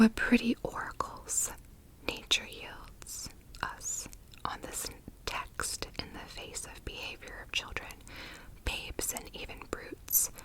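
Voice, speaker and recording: Whispering comes at a very slow pace with long, frequent pauses over noticeable background noise. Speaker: ASMR content creator. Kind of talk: literary text reading. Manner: whispered, soft.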